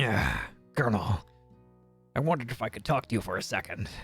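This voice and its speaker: A man puts on a raspy character voice at medium pitch. He races along at a very fast pace, with faint music in the background. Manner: sly, slithering.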